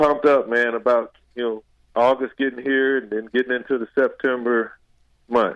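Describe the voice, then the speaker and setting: A man with an American accent speaks at a medium pitch and moderate pace. He has an unremarkable speaking voice. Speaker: former football player. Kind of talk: casual interview. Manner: casual, many fillers.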